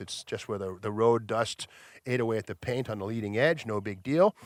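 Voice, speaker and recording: A man with a normal speaking voice at medium pitch talks at a fairly quick pace, the sound dry and close with no echo on a very clean recording with a silent background. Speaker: auction house presenter. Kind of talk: casual talk to camera, vehicle walkaround description.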